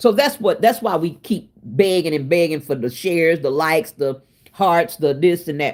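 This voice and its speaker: Her tone animated and her intonation lively, a woman speaks at a fairly low pitch. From Oklahoma City, US. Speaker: cooking livestreamer. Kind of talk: casual live-stream chat. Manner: loud.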